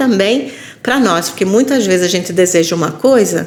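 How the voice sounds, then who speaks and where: A woman at medium pitch speaks with lively intonation amid noticeable background noise and audible room echo. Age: 60s. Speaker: university lecturer and elder care portal CEO. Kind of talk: podcast interview.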